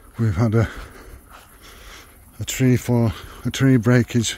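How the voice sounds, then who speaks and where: A man's medium-pitched voice, fairly even in intonation, against noticeable background noise. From United Kingdom. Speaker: expat vlogger. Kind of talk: casual vlog talk to camera.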